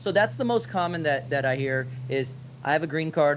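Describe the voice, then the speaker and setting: A man with a plain, everyday voice uses lively intonation at a fairly high pitch. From US, child of immigrant parents. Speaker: real estate agent, podcast co-host. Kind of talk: casual podcast discussion.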